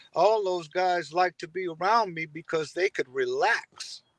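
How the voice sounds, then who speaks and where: Using an American accent, a man speaks at a very slow pace. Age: 70s. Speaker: music industry executive. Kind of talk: interview.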